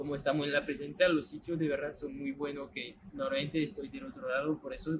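Noticeable background noise fills the clip. Through it, a man talks at a moderate pace. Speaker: stadium tour guide. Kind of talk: guided tour explanation. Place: stadium.

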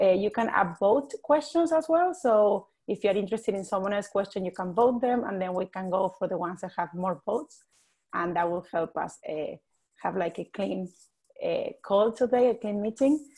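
Against a quiet background, a woman with a dark, mellow tone speaks at a moderate pace with lively intonation. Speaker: webinar tech support and co-host. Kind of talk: webinar housekeeping announcements. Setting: video call. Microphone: video call.

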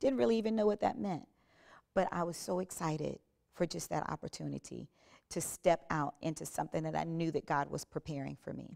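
A woman's very deep, low voice, dark and mellow with vocal fry, at a fairly quick pace in an American accent, against a quiet background. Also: lively intonation. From South Carolina. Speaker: gospel worship singer. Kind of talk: testimony. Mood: earnest, reflective. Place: studio. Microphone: lapel.

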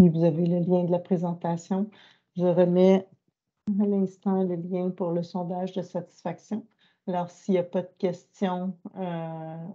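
A woman's fairly low, dark, mellow voice with monotone, flat intonation. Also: quiet background. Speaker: workshop moderator. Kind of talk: online training workshop. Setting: video call. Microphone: video call.

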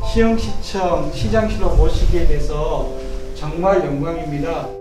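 A man speaking very slowly, with audible room echo and noticeable background noise. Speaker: city mayor. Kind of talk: polite formal talk. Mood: warm, respectful. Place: office. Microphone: camera far.

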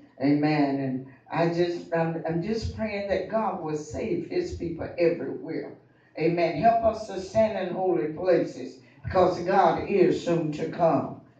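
A man speaks at a high pitch and a fairly slow pace, with ordinary pitch variation. Audible room echo surrounds his voice. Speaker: speaker. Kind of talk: prayer testimony. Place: church.

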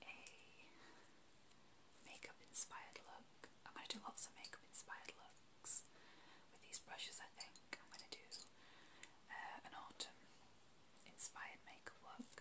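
At a moderate pace, a woman speaks with long, frequent pauses. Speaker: ASMR creator. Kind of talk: ASMR roleplay, talking to camera. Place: home room. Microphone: phone near.

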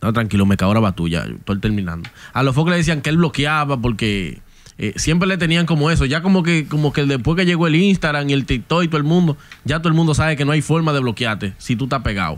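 A man's fairly high voice at a very fast pace, with lively intonation. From Dominican Republic. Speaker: podcast co-host. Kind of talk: casual chat. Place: studio. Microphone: studio mic.

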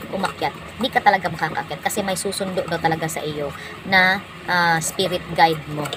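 Noticeable background noise sits behind a woman whose fairly low voice moves at a fairly quick pace with fairly even intonation. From Visayas/Mindanao (Bisaya speaker). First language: Cebuano (Bisaya) (speaking Tagalog). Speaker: vlogger. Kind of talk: casual vlog storytelling. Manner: halting, many fillers.

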